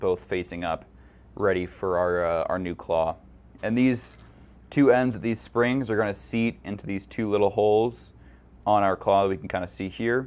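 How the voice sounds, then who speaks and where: A man talks in an ordinary speaking voice. His pitch is fairly low and his pace moderate. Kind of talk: tutorial. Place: workshop.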